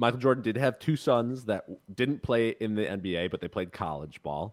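This man has an unremarkable speaking voice, a medium pitch and lively intonation, heard in a very clean recording with a silent background. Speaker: podcast co-host.

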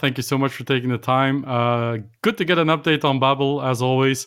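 At a fairly quick pace, a man with a Dutch accent and a medium pitch speaks in monotone, flat intonation. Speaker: tech podcast host. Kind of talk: interview. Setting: remote call.

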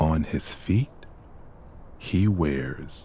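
At a very slow pace, a man speaks with a very deep, low pitch, a calm, soothing tone, a somewhat breathy quality, and ordinary pitch variation. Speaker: guided meditation narrator. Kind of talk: guided meditation. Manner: calm, slow, soothing, even.

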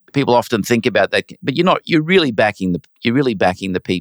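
The recording of a man with an Australian accent sounds dry and close, with no echo. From Brisbane, Australia. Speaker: finance executive and arts donor. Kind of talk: interview.

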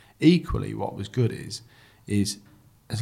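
A man's medium-pitched voice comes across as somewhat breathy. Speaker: podcast co-host. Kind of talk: casual interview.

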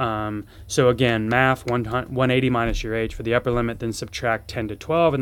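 Fairly even intonation runs through an unremarkable speaking voice. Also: man. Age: 40s. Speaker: surgeon and fitness podcast host. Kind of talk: solo educational podcast. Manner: casual with many filler words.

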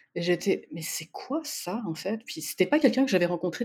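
A woman talks with lively intonation in a plain, everyday voice, pitched fairly low. The recording is very clean, with a silent background. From France, Spanish parents. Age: 40s. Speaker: listener guest, paramedical worker. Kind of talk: casual interview chat.

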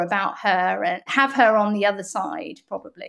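A woman speaks with an English accent at a fairly slow pace. The recording is very clean, with a silent background. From Bath, England. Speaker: PR agency founder. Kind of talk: podcast interview.

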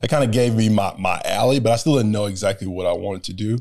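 A man with an American accent has a fairly low pitch, ordinary pitch variation and an ordinary speaking voice. The recording is very clean, with a silent background. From US South, Georgia (Warner Robins). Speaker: former pro football player, startup founder. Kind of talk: interview.

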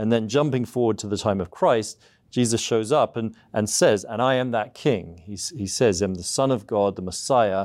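On a very clean recording with a silent background, a man speaks with an English accent. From southeast England. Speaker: seminary professor. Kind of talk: interview.

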